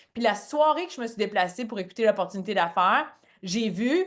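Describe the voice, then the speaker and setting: Her tone is animated, with lively intonation and a fairly high pitch. The woman talks at a fairly quick pace over a quiet background. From Franco-Ontarian, Cornwall, Ontario. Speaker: network marketing presenter. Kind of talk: business opportunity presentation on a call. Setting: online call. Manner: casual, animated.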